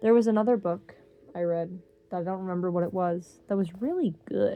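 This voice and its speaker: The voice belongs to a woman, at a middle pitch. It has a dark, mellow tone. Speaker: reads books aloud for an online channel. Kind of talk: reading aloud; casual chat. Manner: halting, stumbles over words.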